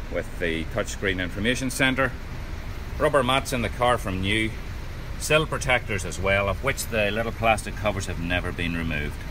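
At a moderate pace, a man with a fairly low voice speaks over noticeable background noise. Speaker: car salesman. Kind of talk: sales walkaround commentary. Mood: upbeat persuasive. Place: shop. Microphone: phone near.

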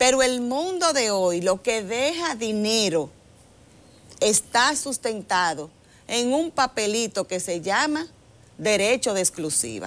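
At a fairly slow pace, a woman with a fairly high pitch makes very wide pitch swings. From Dominican Republic. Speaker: government agency director; TV guest. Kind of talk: interview. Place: studio. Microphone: lapel.

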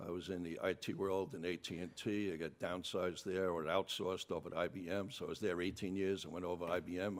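A fairly quick delivery with a New York accent. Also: man. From New York City, Bronx. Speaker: political candidate. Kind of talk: debate opening statement. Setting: town hall with audience.

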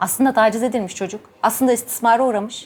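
This woman's voice sits at a fairly high pitch. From Ankara, Turkey. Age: 40s. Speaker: gynecologist and sexologist. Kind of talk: personal testimony and talk to camera. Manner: animated.

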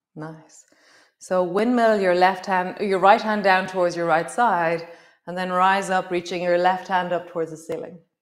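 A woman's calm, soothing voice at medium pitch, monotone and flat, over a quiet background. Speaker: yoga teacher. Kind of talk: guided yoga class, live-stream, calm cueing of poses and breath. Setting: live-stream video. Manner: calm, soothing, unhurried, warm, instructive; chatty, with light laughs and reflective asides. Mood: calm, warm, encouraging. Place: home room.

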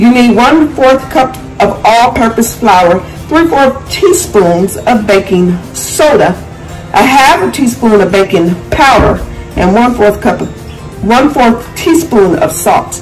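A woman talks at a fairly slow pace while faint music sits in the background. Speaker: home cook vlogger. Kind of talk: casual cooking tutorial. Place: kitchen. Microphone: phone near.

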